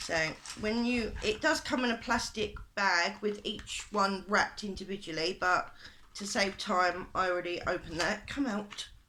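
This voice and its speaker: With a British accent, a woman speaks at a moderate pace in a medium pitch with ordinary pitch variation. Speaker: beauty vlogger. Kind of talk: makeup tutorial / product review. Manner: hesitant, many fillers.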